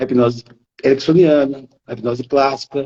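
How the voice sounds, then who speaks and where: A man talks at a moderate pace. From Brazil, interior of Minas Gerais. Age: 50s. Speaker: hypnotherapist. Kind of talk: live-stream conversation. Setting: Instagram live. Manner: sing-song.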